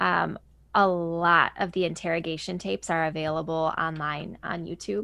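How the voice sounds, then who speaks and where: A woman speaks with a fairly low pitch, a bright, sharp tone and ordinary pitch variation against a quiet background. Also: moderate pace. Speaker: true crime podcast co-host. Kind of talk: casual chat.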